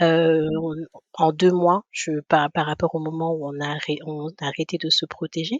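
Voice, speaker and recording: A woman's very deep, low pitch in monotone, flat intonation at a fairly slow pace. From Guadeloupe. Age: 30s. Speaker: podcast guest, mother. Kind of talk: interview testimony. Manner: halting, many hesitations.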